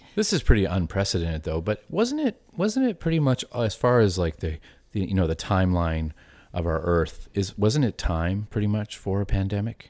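The speaker has a Canadian Maritime accent and lively intonation. The recording is very clean, with a silent background. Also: man, fairly low pitch for a man, moderate pace. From New Brunswick, Canada.

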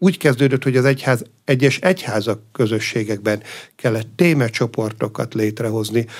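A man speaks in a normal speaking voice at medium pitch. His pitch varies in an ordinary way, and his pace is moderate. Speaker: abbot. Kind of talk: radio interview. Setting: studio.

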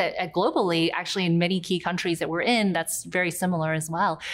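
The woman's pitch sits in the medium range. She talks at a very fast pace. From US South, near Charleston, South Carolina. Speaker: tech company CEO. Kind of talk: interview.

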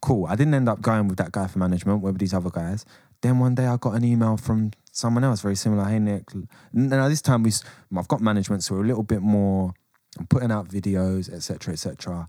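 On a very clean recording with a silent background, a man with a London accent talks at a very fast pace in a fairly low pitch, with ordinary pitch variation and a dark, mellow tone. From England. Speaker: rapper. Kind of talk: casual chat.

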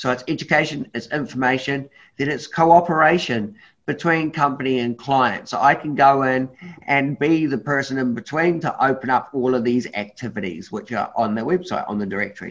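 A New Zealand accent against a quiet background. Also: moderate pace. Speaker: adventure guide and charity founder. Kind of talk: presentation on a group call. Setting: video call. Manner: animated.

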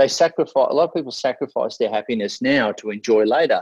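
A man in an Australian accent, with a dry, close sound and no echo. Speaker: motivational speaker. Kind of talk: casual interview.

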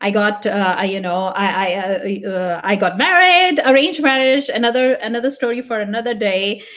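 With hardly any pauses, a woman talks at a moderate pace in a fairly high, animated voice with lively intonation over noticeable background noise. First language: Punjabi. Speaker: tech product manager. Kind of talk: interview. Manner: halting.

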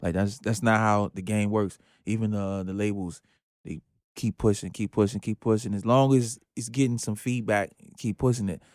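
A normal speaking voice with an American accent, moderate pace and fairly even intonation. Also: man, fairly low pitch for a man. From New Jersey. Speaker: rapper. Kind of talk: casual interview.

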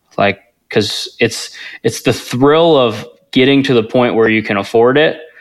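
Speaking at a fairly slow pace, a man has an unremarkable speaking voice of medium pitch, ordinary pitch variation and very even loudness. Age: 20s. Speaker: real estate investor. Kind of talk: interview.

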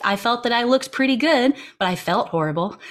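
A woman speaks at a moderate pace with very wide pitch swings. The recording is very clean, with a silent background. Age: 30s. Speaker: musician and music teacher. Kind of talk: interview, casual conversation.

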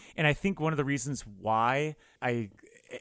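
A man with an American accent and an unremarkable speaking voice, at a moderate pace, with ordinary pitch variation. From US South, South Florida. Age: 30s. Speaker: film podcaster. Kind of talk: casual chat.

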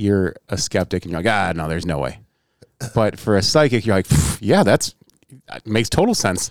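A man speaks in a plain, everyday voice, fairly low in pitch with ordinary variation, at a moderate pace, the sound dry and close with no echo. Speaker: podcast co-host. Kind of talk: casual chat, comedic banter.

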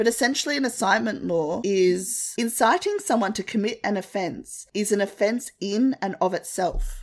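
A woman with an Australian accent, medium pitch, ordinary pitch variation, a moderate pace and hardly any pauses. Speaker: podcast co-host. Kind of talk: casual chat.

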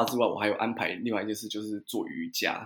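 A man talks fairly quickly in an ordinary speaking voice, his pitch varying in an ordinary way. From Taiwan. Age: 30s. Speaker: watercolor painter and guesthouse owner. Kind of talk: interview.

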